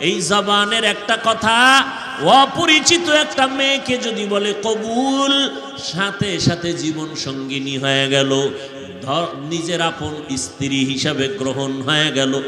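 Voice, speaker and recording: A man's voice amid audible room echo and light background noise. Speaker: preacher. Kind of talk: sermon. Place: stage. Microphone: podium.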